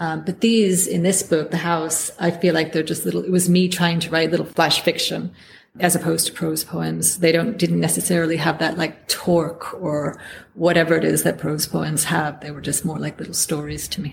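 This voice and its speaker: A woman with an American accent talks at a moderate pace with a fairly low pitch. Her intonation is monotone and flat, with vocal fry. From United States. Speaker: poet. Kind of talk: interview.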